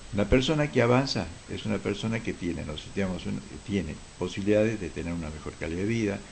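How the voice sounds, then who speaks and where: Somewhat breathy speech at a very fast pace, with lively intonation. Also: man, fairly low pitch for a man. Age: 70s. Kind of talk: TV talk show interview.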